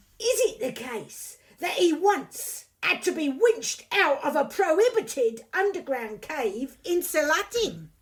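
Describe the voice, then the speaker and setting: A put-on character voice, high in pitch, swings very widely up and down. The pace is fairly slow. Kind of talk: courtroom speech. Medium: audio drama. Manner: pompous, theatrical.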